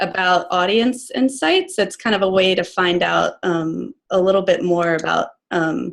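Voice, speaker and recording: A woman with a normal speaking voice at medium pitch, moderate pace, over a quiet background. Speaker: online business coach. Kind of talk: tutorial. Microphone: video call.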